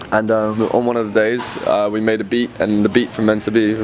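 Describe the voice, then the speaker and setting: A man speaks in a London accent, fairly low and with monotone, flat intonation. Noticeable background noise runs underneath. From England, London. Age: 20s. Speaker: electronic music producer. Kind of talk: casual interview.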